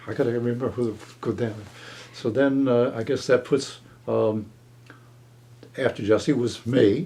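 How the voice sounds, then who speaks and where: A dark, mellow tone at a fairly slow pace with long, frequent pauses. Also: man. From Chester, New Jersey. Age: 80s+. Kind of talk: oral history interview answer. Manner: hesitant, conversational.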